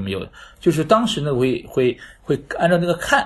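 With lively intonation and a somewhat breathy tone, a man talks at a moderate pace. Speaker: flea market organizer. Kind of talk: casual interview. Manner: hesitant, many fillers.

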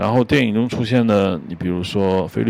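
A man speaks in a very deep, low voice with lively intonation. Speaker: podcast host, screenwriter-director. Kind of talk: solo film commentary monologue. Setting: outdoors on home balcony. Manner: hesitant, filler-heavy.

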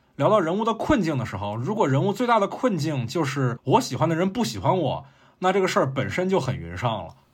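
A man with a fairly high pitch and vocal fry, talking at a very fast pace with very wide pitch swings. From China, Fuzhou (Fujian). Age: young. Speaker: guest podcaster from another show. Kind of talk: casual chat.

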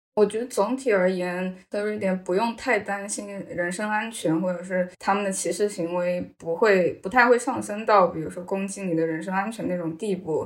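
A plain, everyday voice, this woman speaks at a moderate pace in a medium pitch with ordinary pitch variation and hardly any pauses. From China. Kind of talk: podcast interview.

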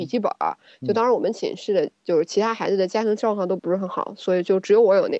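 A woman speaks at a very fast pace with a fairly high pitch and a dark, mellow tone. The sound is dry and close, with no echo. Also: ordinary pitch variation. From China, small town. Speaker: gynecologist and co-host. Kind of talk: casual chat.

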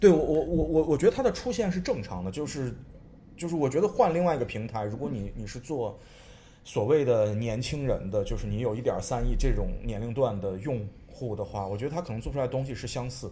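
At a fairly quick pace, a man speaks with a dark, mellow tone, a medium pitch, and a somewhat breathy quality. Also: lively intonation. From China, Xi'an. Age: 30s. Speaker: artist. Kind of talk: casual chat. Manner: halting, repeats words.

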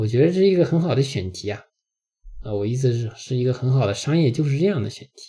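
The voice has a dark, mellow tone. It is somewhat breathy. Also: man. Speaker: podcast host. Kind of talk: travel audio diary monologue.

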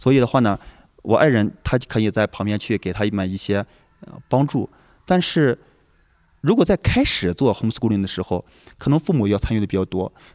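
With lively intonation and a medium pitch, a man talks at a fairly quick pace broken by long, frequent pauses. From rural northern China. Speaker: homeschooling parent, programmer. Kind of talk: casual chat. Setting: lodging in a village while traveling.

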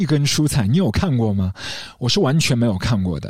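In a very clean recording with a silent background, a somewhat breathy voice moves at a fairly slow pace with very wide pitch swings. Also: man. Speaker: podcast host discussing film music. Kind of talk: scripted solo narration. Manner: reflective, measured delivery.

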